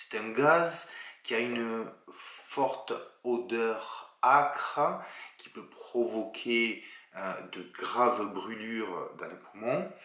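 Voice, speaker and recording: A man speaks very slowly with a southern French accent, his loudness swinging widely while his pitch varies in an ordinary way. The room echoes audibly and there is noticeable background noise. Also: medium pitch for a man. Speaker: chemistry teacher. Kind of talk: lecture. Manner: casual, relaxed.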